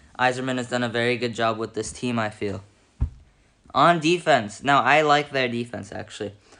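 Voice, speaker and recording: Mumbled speech moves along at a moderate pace. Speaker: hockey commentator. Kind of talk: casual talk to camera. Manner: mumbling.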